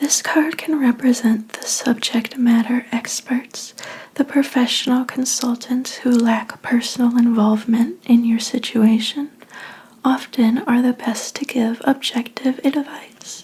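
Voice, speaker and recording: The speaker is soft-spoken and goes at a fairly slow pace. Noticeable background noise is present. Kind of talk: ASMR tarot reading roleplay as a fortune teller. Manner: soft-spoken, relaxing.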